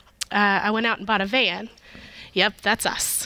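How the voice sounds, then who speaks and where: Bright, sharp tone with an American accent and a dry sound free of echo. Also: woman. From US South. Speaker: pharmacy operations supervisor; guest. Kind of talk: casual chat. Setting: stage with audience. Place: studio. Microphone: headset.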